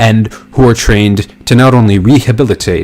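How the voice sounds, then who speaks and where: A man's voice with music in the background. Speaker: political commentary streamer. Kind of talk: live stream commentary. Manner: fast.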